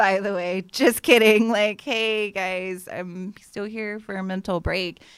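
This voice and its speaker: In an American accent, a woman with a medium pitch speaks at a very slow pace with fairly even intonation, big swings in loudness and hardly any pauses. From Las Vegas, US West. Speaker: poet. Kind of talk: casual chat.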